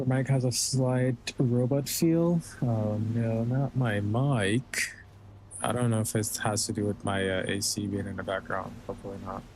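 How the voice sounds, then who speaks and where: Speech comes at a fairly slow pace. The voice is somewhat breathy and shows ordinary pitch variation. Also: man. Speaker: gaming streamer. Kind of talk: casual gameplay commentary. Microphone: slight robotic, humming sound on new dynamic mic.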